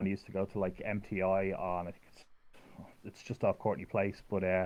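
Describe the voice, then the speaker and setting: A man with a strong Irish accent talks at a fairly quick pace in a fairly low pitch, his intonation monotone and flat while his loudness swings widely. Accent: thick Irish. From Ireland. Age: 30s. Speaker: fighting game player. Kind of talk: casual chat. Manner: halting.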